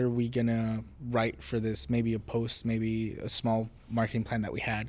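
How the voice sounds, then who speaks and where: A man with a Spanish accent at a moderate pace. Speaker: college program intern. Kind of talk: casual interview podcast. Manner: repetitive false starts.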